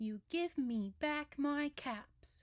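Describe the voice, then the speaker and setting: A woman puts on a character voice, high-pitched with lively intonation, recorded dry and close with no echo. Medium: read story. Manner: scolding, with rising anger.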